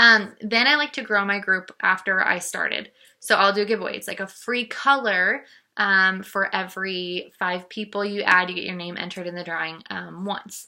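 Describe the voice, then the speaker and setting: With a bright, sharp tone and medium pitch, a woman speaks with ordinary pitch variation and big swings in loudness. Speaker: makeup seller and team leader. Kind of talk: vlog tutorial. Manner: fast; casual with many fillers.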